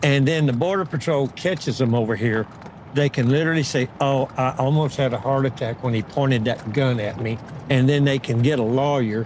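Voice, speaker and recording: Speaking with a Texan accent, a man talks at a fairly quick pace. His pitch is medium with ordinary variation. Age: 70s. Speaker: rancher. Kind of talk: interview.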